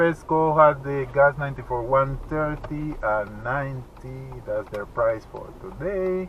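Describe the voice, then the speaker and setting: With a Spanish accent, a man speaks at a fairly high pitch and uses ordinary pitch variation. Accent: Spanish-speaker accent in English. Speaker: vlogger. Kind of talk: casual driving vlog narration. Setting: in a car.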